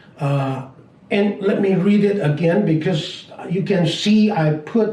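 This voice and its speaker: Speaking very slowly with a Chinese accent, a man is heard with audible room echo. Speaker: business teacher. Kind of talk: lecture. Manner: halting.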